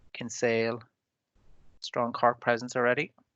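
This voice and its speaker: In a Donegal accent, a man speaks at a medium pitch with monotone, flat intonation. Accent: Donegal Irish. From Ireland, Donegal. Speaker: webinar moderator. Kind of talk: webinar introduction. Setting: video call.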